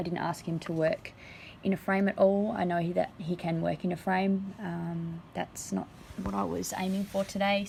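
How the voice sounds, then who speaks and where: Her voice somewhat breathy and medium in pitch, a woman with an Australian accent speaks at a moderate pace in a monotone, flat intonation. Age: 20s. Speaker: horse owner and rider. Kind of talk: vlog voiceover.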